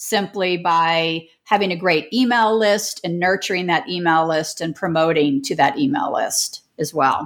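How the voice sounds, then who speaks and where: In a very clean recording with a silent background, a woman with a Midwestern American accent speaks at a medium pitch with ordinary pitch variation. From US Midwest, St. Louis. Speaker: online business coach. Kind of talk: interview.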